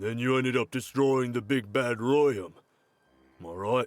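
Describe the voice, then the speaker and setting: A man puts on a character voice at a medium pitch. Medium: video game. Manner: nervous, laughing awkwardly.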